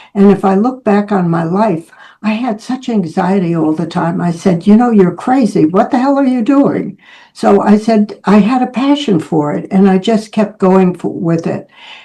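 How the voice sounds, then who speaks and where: A woman's somewhat breathy, medium-pitched voice with a dark, mellow tone, lively intonation and a moderate pace. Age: 80s+. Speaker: speaker at public speaking club, photographer. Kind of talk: prepared speech.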